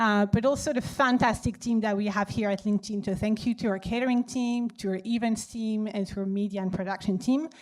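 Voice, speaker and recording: In a French accent, a woman speaks fairly quickly at a medium pitch with fairly even intonation. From France. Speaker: data analyst and event organizer. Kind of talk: event welcome speech. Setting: stage with audience.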